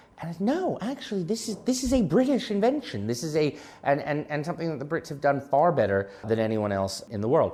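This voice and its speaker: An American-accented man talks at a fairly quick pace in a dark, mellow tone. His pitch is fairly high and swings very widely. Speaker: fintech company executive chairman. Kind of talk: podcast interview.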